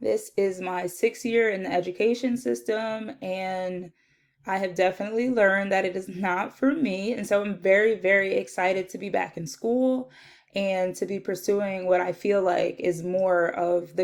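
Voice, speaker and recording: A woman with a New Jersey accent, medium pitch and ordinary pitch variation, at a moderate pace, in a very clean recording with a silent background. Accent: New Jersey American English. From US Northeast, South Jersey. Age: 20s. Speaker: social work student. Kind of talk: self-introduction video.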